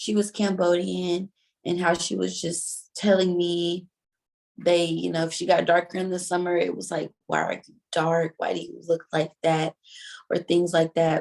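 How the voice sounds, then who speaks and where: A woman with an American accent speaks fairly slowly in a fairly low pitch, with monotone, flat intonation. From US South, Mississippi Gulf Coast. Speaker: interviewee, film participant. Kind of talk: casual interview.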